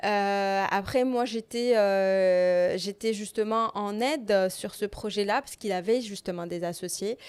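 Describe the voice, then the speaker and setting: A woman speaks at a very slow pace with hardly any pauses, in a medium pitch and with fairly even intonation. Her loudness swings widely, and the recording is very clean with a silent background. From Morocco, Rabat. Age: 30s. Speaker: entrepreneur. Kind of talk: podcast interview. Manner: hesitant, many fillers.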